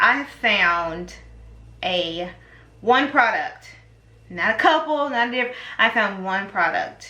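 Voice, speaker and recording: A woman speaks at a very slow pace with very wide pitch swings. Audible room echo surrounds her voice. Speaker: beauty vlogger. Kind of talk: tutorial.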